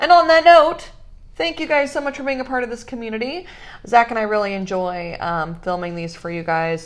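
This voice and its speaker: A woman talks at a fairly quick pace, her fairly high voice moving through very wide pitch swings. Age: 20s. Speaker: podcast host, small business owner. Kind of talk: casual chat.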